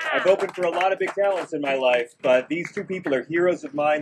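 Here a man talks at a fairly quick pace with ordinary pitch variation. Noticeable background noise runs under his voice. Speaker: comedian, radio host. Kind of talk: stand-up style event speech. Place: street. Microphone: lapel.

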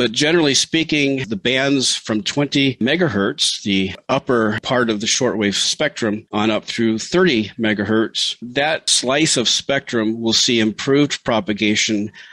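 A man with an American accent, fairly slow and very even in loudness, over noticeable background noise. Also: medium pitch for a man, ordinary pitch variation, hardly any pauses. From Montana, US Northwest. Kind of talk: interview.

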